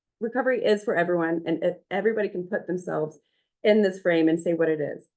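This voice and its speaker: A woman talks fairly quickly, her pitch varying in an ordinary way. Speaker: community mental health outreach worker. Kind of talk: meeting presentation. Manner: fast.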